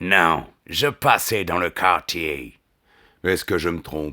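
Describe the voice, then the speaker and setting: A man puts on a character voice at a very deep, low pitch, speaking at a fairly slow pace on a very clean recording with a silent background. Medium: read story.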